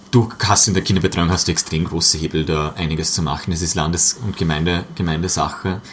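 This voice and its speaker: The voice runs at a very fast pace with hardly any pauses and fairly even intonation over noticeable background noise. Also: man, very deep, low pitch for a man. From Austria, Vorarlberg. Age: 20s. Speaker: politician. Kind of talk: casual chat.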